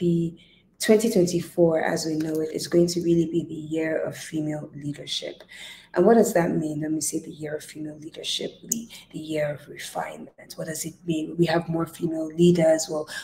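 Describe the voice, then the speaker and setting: Somewhat breathy, a woman speaks at a fairly low pitch with a dark, mellow tone. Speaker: leadership coach. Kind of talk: motivational talk to camera. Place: home room. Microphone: earbuds.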